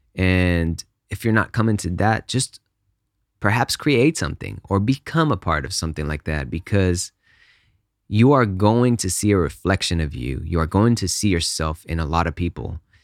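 A man with a very deep, low voice speaks with lively intonation. The sound is dry and close, with no echo. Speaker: podcast host and music composer. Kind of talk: solo podcast monologue, casual. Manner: slow talker; casual, friendly.

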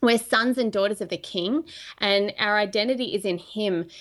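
Recorded very cleanly against a silent background, a woman with an Australian accent speaks at a medium pitch. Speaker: prophetic minister. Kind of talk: casual chat.

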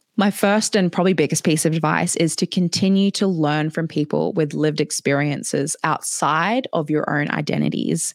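A woman's very deep, low voice with vocal fry, in an Australian accent, at a moderate pace with hardly any pauses, very even loudness and ordinary pitch variation, the sound dry and close with no echo. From Papua New Guinea and Australia. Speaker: DEI consultant and digital marketer. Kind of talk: webinar presentation. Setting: online video session with chat.

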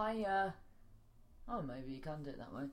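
In a British accent, a woman speaks with very wide pitch swings amid audible room echo. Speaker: podcast host. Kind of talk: casual chat. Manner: rambling, halting.

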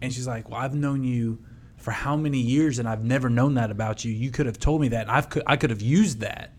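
A man talks at a fairly quick clip in a plain, everyday voice, medium-pitched, with fairly even intonation. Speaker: podcast co-host. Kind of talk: casual ad read and interview.

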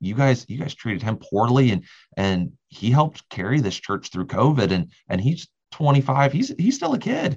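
A man talks at a moderate pace with a medium pitch. His voice is somewhat breathy, with lively intonation. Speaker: youth pastor. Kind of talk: casual conversation. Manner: repetitive stammering starts.

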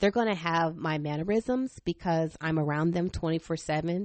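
Fairly low in pitch, a woman speaks in a plain, everyday voice. Her pitch variation is ordinary. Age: 40s. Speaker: podcast host, homeschooling mother. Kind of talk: faith and family monologue.

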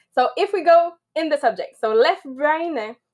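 A woman with a Quebec French accent speaks at a fairly slow pace with lively intonation. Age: 30s. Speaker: network marketer. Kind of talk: presentation on a live podcast. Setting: video call.

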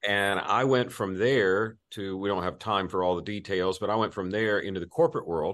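With hardly any pauses, a man speaks at a moderate pace and a fairly low pitch with ordinary pitch variation, over a quiet background. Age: 50s. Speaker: executive search firm CEO and author. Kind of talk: casual interview.

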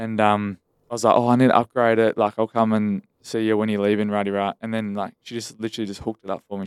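In a dry, close sound with no echo, a man with an Australian accent talks very fast at a fairly low pitch in a monotone, flat intonation. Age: 20s. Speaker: podcast co-host. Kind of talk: casual chat.

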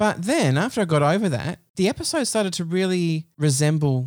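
On a very clean recording with a silent background, a man with an Australian accent and a fairly high pitch speaks at a moderate pace with lively intonation. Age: 30s. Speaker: podcast host. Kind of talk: casual chat. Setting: home study.

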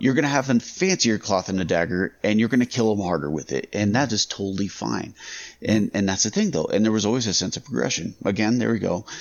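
Here a man talks at a very fast pace with a fairly low pitch and vocal fry. His intonation is lively. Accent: American. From Las Vegas, US. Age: 30s. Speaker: podcast co-host. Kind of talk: casual chat.

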